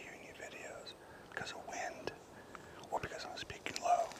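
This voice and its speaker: A moderate-paced whisper against noticeable background noise. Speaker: hunting vlogger. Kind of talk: outdoor tutorial. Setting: outdoors in the woods. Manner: whispering, low volume.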